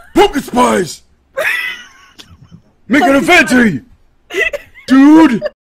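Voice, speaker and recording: At a very slow pace, a man uses a put-on character voice pitched extremely high, with long, frequent pauses. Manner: puffed-up, macho.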